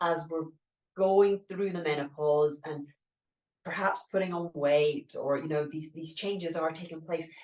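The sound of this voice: A woman speaks at a fairly slow pace with a low pitch. Her tone is slightly mellow and her intonation fairly even.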